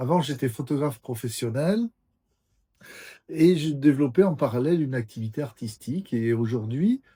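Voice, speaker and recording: In a very clean recording with a silent background, a man speaks at a moderate pace in a dark, mellow, somewhat breathy tone, with ordinary pitch variation and long, frequent pauses. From French Basque Country (Bayonne). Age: 60s. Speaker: artist and former photographer, channel host. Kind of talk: casual interview chat. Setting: at a friend's home. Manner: hesitant, many fillers.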